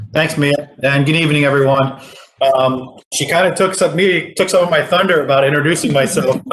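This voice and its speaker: Through noticeable background noise, a man with an American accent talks at a fairly quick pace. His fairly high pitch holds fairly even intonation at very even loudness. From Philadelphia, US East Coast. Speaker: portfolio strategist. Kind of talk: business presentation at public meeting.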